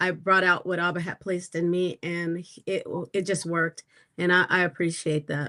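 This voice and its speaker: A woman's fairly low, bright and sharp voice, monotone and flat at a moderate pace, in a dry, close sound with no echo. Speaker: singer. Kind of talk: casual chat. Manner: halting.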